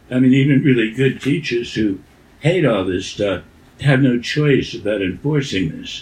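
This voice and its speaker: A man's somewhat breathy voice moves at a fairly slow pace with ordinary pitch variation. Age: 80s+. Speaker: education writer and former teacher. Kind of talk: interview. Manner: halting.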